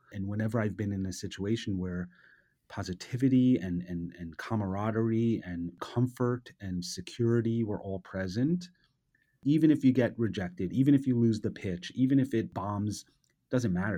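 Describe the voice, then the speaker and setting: With a New York accent, a man speaks at a fairly low pitch and moderate pace, his tone dark and mellow and his pitch varying normally. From US, New York City. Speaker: advertising creative director. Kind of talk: interview.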